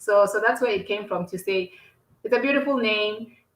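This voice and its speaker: A speaker with a South African accent and ordinary pitch variation. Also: woman. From South Africa, Limpopo province. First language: Xitsonga. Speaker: entrepreneur. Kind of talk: podcast interview. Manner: halting, many repetitions.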